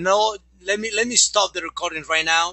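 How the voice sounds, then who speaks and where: Speaking with a Mexican accent, a man with a high pitch talks at a moderate pace with ordinary pitch variation. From Mexico. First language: Spanish. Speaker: network marketing presenter. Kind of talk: sales pitch. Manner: animated.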